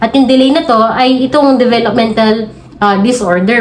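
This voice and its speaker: A woman with a fairly high pitch and ordinary pitch variation speaks at a moderate pace amid noticeable background noise and audible room echo. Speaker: pediatrician and parenting video creator. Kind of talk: educational tutorial. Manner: polite, uses respectful po.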